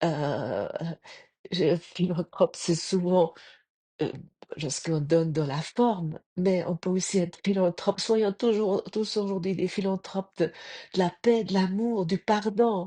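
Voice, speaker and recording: A woman speaks very slowly at a medium pitch, with ordinary pitch variation. The sound is dry and close with no echo, over a quiet background. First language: German (speaking French). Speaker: spiritual podcaster. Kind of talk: spiritual reflection talk. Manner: halting.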